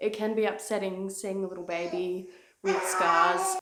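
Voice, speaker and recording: A woman speaks with an Australian accent. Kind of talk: casual talk to camera.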